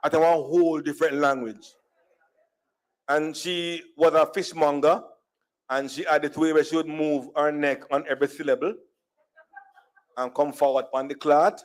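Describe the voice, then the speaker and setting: Speaking in a Jamaican accent, a man with a fairly high pitch keeps a moderate pace broken by long, frequent pauses. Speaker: speaker at diaspora conference, storyteller. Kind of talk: conference talk, humorous personal storytelling. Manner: animated.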